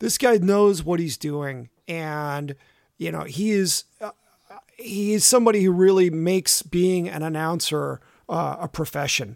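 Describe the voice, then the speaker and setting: At a fairly slow pace, a man with a high pitch speaks with ordinary pitch variation, the sound dry and close with no echo. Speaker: cycling podcast co-host. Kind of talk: casual chat.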